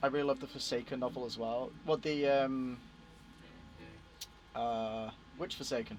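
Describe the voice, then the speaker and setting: A man with a British accent talks at medium pitch and a moderate pace. His intonation is fairly even, and he leaves long, frequent pauses. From Britain. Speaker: gaming streamer. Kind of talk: casual live stream chat.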